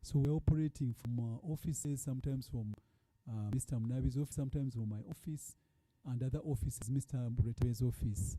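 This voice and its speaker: A man's dark, mellow, somewhat breathy voice at medium pitch, fairly quick pace and ordinary pitch variation. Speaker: fund board chair. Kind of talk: report presentation. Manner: halting.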